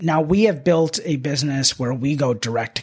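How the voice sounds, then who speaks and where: A man's voice has ordinary pitch variation and sounds somewhat breathy. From Northern Virginia, US. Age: 20s. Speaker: manufacturing business owner. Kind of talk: podcast interview. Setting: studio.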